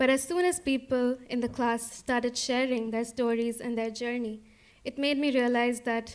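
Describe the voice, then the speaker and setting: In an Indian accent, a woman talks at a moderate pace with a high pitch and monotone, flat intonation, captured on a very clean recording with a silent background. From India, Kolkata. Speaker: storyteller. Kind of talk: personal storytelling.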